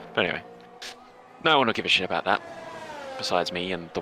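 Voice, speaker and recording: A man speaks at a very fast pace with very wide pitch swings, music playing in the background. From Australia. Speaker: esports league host and commentator. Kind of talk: live esports commentary chat. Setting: live stream. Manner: animated.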